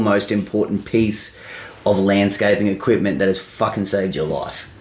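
A man speaks at a moderate pace with an Australian accent, with noticeable background noise in the recording. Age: 30s. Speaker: podcast host, lawn care business owner. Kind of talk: casual chat.

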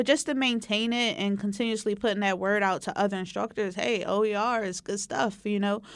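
A woman with an American accent has an unremarkable speaking voice, fairly high in pitch with ordinary pitch variation, at a fairly quick pace. The recording is very clean with a silent background. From West Philadelphia. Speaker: community college instructor. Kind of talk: oral history interview.

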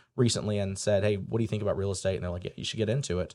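Very clean, silent-background recording of a man with an American accent. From US Midwest, rural area west of St. Louis, Missouri. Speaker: real estate broker. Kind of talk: interview. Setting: studio.

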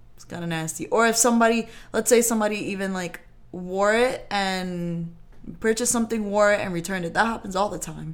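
Delivered at a fairly quick pace, the speech uses an ordinary speaking voice with ordinary pitch variation. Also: woman, medium pitch for a woman. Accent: American. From New York. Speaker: co-host. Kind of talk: casual chat. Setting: studio.

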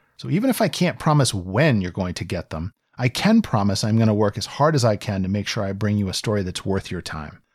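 In a very clean recording with a silent background, a man with a Mid-Atlantic American accent and a fairly low pitch talks at a fairly quick pace with lively intonation and hardly any pauses. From Virginia, near Washington DC. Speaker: podcast host. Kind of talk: scripted narration.

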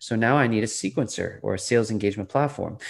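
This man has a normal speaking voice at a medium pitch, with lively intonation. He talks at a fairly quick pace against a quiet background. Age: 40s. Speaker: sales author. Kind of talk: interview.

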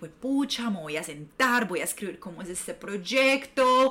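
With noticeable background noise behind her, a woman talks at a fairly slow pace. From Colombia, Medellín. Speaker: sensuality and self-love coach. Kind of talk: casual interview chat.

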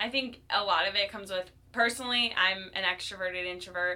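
A woman speaks at a moderate pace with an American accent, her pitch medium, in an ordinary speaking voice. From Ohio, US Midwest (Cleveland). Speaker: fitness instructor. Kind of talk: casual interview.

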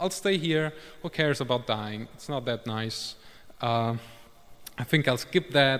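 A man with a non-native accent talks at a fairly slow pace, with long, frequent pauses. His pitch variation is ordinary. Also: medium pitch for a man. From Germany, of Italian parents. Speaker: war journalist giving a lay sermon. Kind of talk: sermon. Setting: church service. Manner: halting, with fillers.

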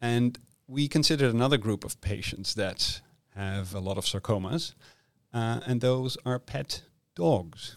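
With a Dutch accent, a man talks at a fairly slow pace in a medium pitch. His pitch varies in an ordinary way, and the recording is very clean with a silent background. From Netherlands. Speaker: medical oncologist and cancer researcher. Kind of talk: interview. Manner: halting, with frequent fillers.

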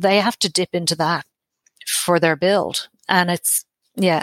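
With an Irish accent, a woman speaks very slowly at a fairly low pitch and fairly even intonation, with a dry, close sound with no echo. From Ireland. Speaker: tenancy coordinator. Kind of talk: interview.

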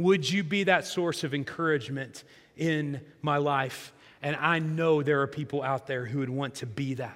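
With audible room echo, a man with an American accent speaks at a moderate pace in a fairly high voice. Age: 40s. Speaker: pastor. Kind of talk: sermon. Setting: church.

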